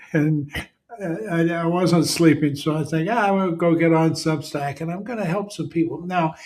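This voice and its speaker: This man has a high-pitched voice and fairly even intonation. He talks at a moderate pace. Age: 80s+. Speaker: leadership consultant. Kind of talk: casual monologue. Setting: late at night at home. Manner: halting, many fillers.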